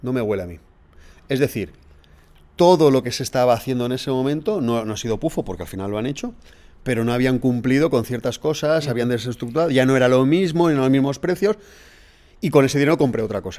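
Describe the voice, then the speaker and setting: A man talks at a very fast pace with lively intonation and long, frequent pauses. His voice sits at medium pitch, with a dark, mellow tone. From Spain, Valencia region (Alzira). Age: 40s. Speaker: teacher and fitness event promoter. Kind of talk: casual interview. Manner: animated.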